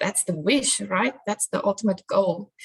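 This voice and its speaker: The voice is somewhat breathy and moves at a fairly slow pace. The sound is dry and close, with no echo. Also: woman. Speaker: crime analyst. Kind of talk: conference presentation.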